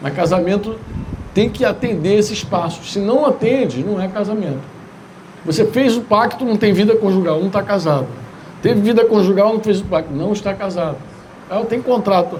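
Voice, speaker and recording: Amid noticeable background noise and audible room echo, a man with a high pitch and ordinary pitch variation talks at a moderate pace, leaving long, frequent pauses. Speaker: pastor. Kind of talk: sermon. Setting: church retreat gathering.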